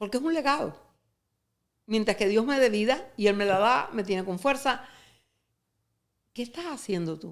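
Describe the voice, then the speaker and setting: In a very clean recording with a silent background, a woman talks at a fairly quick pace with very wide pitch swings. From Cuba. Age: 80s+. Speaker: retired sales executive and author. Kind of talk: podcast interview.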